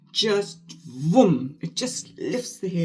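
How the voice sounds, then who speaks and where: Somewhat breathy and animated, a woman at a medium pitch speaks at a fairly slow pace with lively intonation. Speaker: beauty vlogger, former flight attendant. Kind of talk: casual chat while doing makeup. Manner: chatty, animated.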